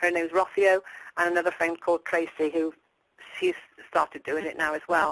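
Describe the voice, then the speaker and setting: A woman with an English accent, fairly low in pitch, monotone and flat, fairly quick yet with long, frequent pauses, in a dry, close sound with no echo. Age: 60s. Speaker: dieter sharing weight-loss success. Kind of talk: interview.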